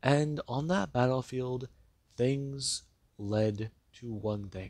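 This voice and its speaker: Soft-spoken, a man talks at a medium pitch with ordinary pitch variation. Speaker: fan-fiction storyteller. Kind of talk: story narration. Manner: soft-spoken, talking lighter; pauses, cuts for breath.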